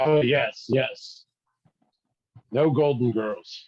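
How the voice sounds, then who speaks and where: Someone uses a raspy, put-on character voice with fairly even intonation. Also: man, fairly high pitch for a man. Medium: actual play. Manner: stern, preachy.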